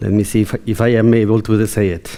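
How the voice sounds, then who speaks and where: A man talks at a moderate pace, and background noise is noticeable. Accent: Latin American. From Colombia. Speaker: keynote speaker. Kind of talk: conference keynote. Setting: stage with audience. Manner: animated.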